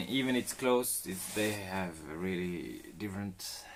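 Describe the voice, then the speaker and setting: The man speaks at a fairly low pitch with a Swedish accent. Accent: Swedish accent, noticeable. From Sweden. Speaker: live streamer renovating a boat. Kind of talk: casual live stream chat. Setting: on a boat, live stream. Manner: laid-back.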